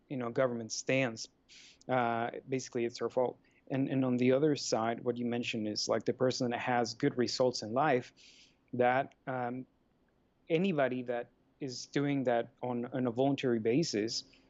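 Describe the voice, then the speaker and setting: A man speaks with a Mexican accent. His intonation is monotone and flat. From Mexico. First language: Spanish. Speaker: life coach and free market advocate. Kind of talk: podcast interview.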